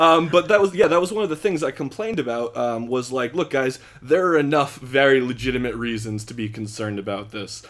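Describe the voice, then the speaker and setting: Speaking in a normal speaking voice, the talker moves at a fairly quick pace with lively intonation and hardly any pauses. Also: man, medium pitch for a man. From Philadelphia area, US. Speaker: podcast guest explaining net neutrality. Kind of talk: casual chat.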